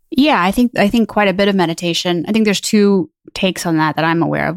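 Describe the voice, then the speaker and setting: A woman with a normal speaking voice talks at a fairly low pitch with ordinary pitch variation, captured dry and close with no echo. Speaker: podcast co-host. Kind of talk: casual chat. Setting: video call.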